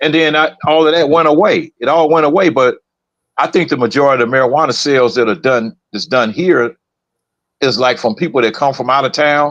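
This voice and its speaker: A man with an unremarkable speaking voice talks at a fairly quick pace. His pitch is fairly high, with ordinary variation. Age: 60s. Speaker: podcast co-host. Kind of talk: casual chat.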